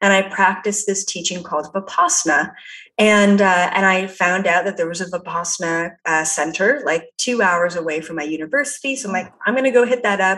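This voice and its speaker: In a Canadian accent, a woman with a medium pitch talks at a fairly quick pace with ordinary pitch variation amid noticeable background noise. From Canada. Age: 20s. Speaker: psychic. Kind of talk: interview. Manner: casual, lots of fillers.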